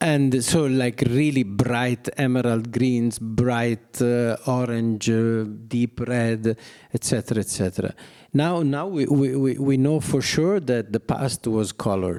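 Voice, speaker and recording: A man with an Italian accent speaks fairly slowly in a dark, mellow tone, with ordinary pitch variation and very even loudness on a very clean recording with a silent background. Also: medium pitch for a man. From Italy, Milan. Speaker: artist. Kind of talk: public talk. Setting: gallery with audience. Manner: halting.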